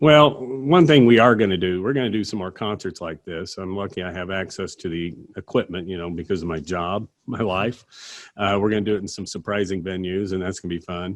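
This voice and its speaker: At a fairly quick pace, a man with a very deep, low pitch speaks in big swings of loudness. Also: ordinary pitch variation. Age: 50s. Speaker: singer-songwriter. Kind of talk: casual interview.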